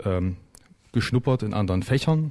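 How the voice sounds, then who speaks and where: A man speaks with a dark, mellow tone. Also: quiet background. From Thuringia, Saalfeld area, Germany; Thuringia, Germany. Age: 40s. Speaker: political candidate; candidate. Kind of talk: radio talk interview. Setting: radio studio. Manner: hesitant, many fillers. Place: studio.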